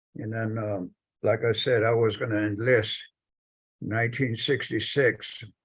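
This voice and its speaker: A somewhat breathy voice with an American accent, fairly slow, over a quiet background. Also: man. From US Southwest, Navajo Nation. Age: 70s. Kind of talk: personal storytelling in a panel talk. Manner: halting.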